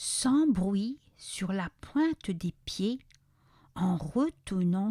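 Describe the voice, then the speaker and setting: A woman of medium pitch speaks at a very slow pace. Her somewhat breathy voice shows very wide pitch swings. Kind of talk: children's story read-aloud.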